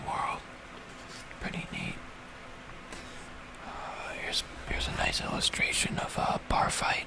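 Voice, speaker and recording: Whispered words come at a fairly slow pace with noticeable background noise behind them. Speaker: ASMR creator. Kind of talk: ASMR book page-through. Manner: whispered, soft-spoken.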